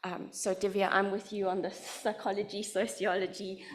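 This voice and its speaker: A woman speaks at a medium pitch with a South African accent. Audible room echo surrounds her voice. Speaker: literacy education researcher. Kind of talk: lecture.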